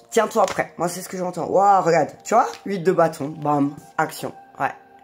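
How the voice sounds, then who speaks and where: Set against music in the background, the voice moves at a fairly slow pace with ordinary pitch variation and big swings in loudness. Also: woman, fairly low pitch for a woman. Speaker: tarot reader. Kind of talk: tarot reading. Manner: casual, chatty.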